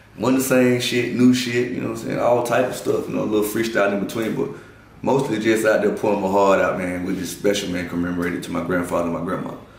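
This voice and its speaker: A man with an American accent talks at a very fast pace in a fairly low pitch, with noticeable background noise and audible room echo. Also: ordinary pitch variation. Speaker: comedian. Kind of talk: casual interview.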